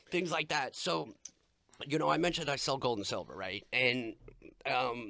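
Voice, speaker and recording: With an American accent, a man at medium pitch talks at a moderate pace in a bright, sharp tone, his pitch swinging very widely, with vocal fry and long, frequent pauses. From Long Island, New York. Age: 30s. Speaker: podcast co-host, gold and silver dealer in addiction recovery. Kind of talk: casual chat. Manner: halting, many fillers.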